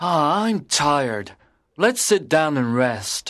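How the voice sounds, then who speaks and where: A man's put-on character voice, growling at a fairly high pitch, with very wide pitch swings, a very slow pace and a quiet background. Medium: audio drama. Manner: growls like a coyote.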